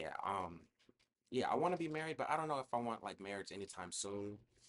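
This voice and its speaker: Talking at a fairly quick pace, a man with a fairly low pitch makes very wide pitch swings. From South Florida, Broward County. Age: 20s. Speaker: podcast host. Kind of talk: casual chat. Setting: small studio.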